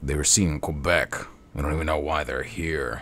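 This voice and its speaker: A man does a put-on character voice, raspy and growling, at a very deep, low pitch. He goes at a fairly quick pace over light background noise. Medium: game stream. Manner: gruff, stubborn.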